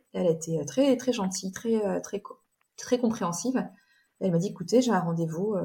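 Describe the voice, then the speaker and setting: The voice has a dark, mellow tone, a somewhat breathy quality, a moderate pace and ordinary pitch variation. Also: woman. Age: 40s. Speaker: bride sharing her wedding dress story. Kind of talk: interview. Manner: halting.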